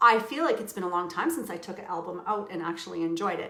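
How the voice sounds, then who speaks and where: A woman's speech carries audible echo from the room. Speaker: crafting instructor. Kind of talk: live tutorial stream. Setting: home livestream. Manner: loud; animated, giggly.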